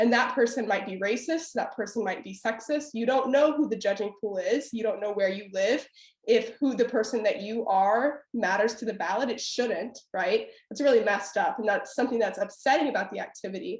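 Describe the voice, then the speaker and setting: A woman talks at a fairly quick pace with fairly high pitch and a somewhat breathy voice. Her tone is animated, with ordinary pitch variation. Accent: American. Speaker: former debate champion and debate instructor. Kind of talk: webinar panel discussion.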